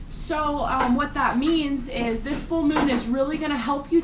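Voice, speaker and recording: Audible room echo and noticeable background noise surround the speaker. She is a woman with a high pitch. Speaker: spiritual vlogger. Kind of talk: casual monologue. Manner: fast; animated.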